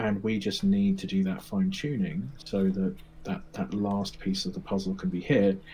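This man's pace is moderate. He has a British accent. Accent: English, with a British. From England. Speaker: mindset coach. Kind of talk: casual interview chat.

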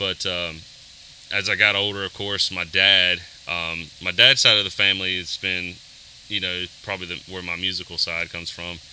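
With a Southern US accent, a man speaks at a moderate pace in a very deep, low, monotone, flat voice over noticeable background noise. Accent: Southern US (Georgia). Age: 30s. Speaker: worship drummer. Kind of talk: casual interview.

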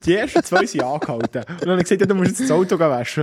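A man with a high voice speaks in a dry, close recording with no echo, though noticeable background noise is present. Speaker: podcast co-host, soldier. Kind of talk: casual chat. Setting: bunker.

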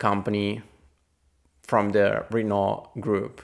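Very slow speech in an Italian accent on a very clean recording with a silent background. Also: man. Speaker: podcast host, trail runner. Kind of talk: solo podcast news review. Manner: some hesitations and fillers.

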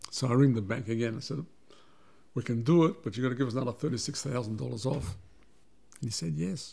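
A man's medium-pitched voice in an Australian accent, dark and mellow with vocal fry, very fast yet broken by long, frequent pauses, with ordinary pitch variation. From Australia (Melbourne), after early childhood in Belgrade and Vienna. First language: Serbian. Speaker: businessman and migrant community figure. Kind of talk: interview, personal life story.

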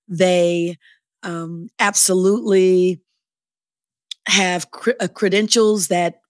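A woman's medium-pitched voice at a very slow pace with ordinary pitch variation, dry and close with no echo, on a very clean recording with a silent background. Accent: American. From Chicago. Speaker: nonprofit association CEO. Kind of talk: interview.

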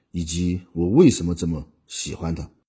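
With a slightly airy voice, this man speaks in a dark, mellow tone. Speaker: podcast host. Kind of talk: solo storytelling monologue.

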